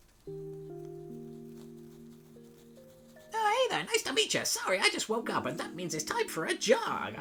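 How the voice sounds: Clear music plays behind a put-on character voice delivered at a fairly slow pace.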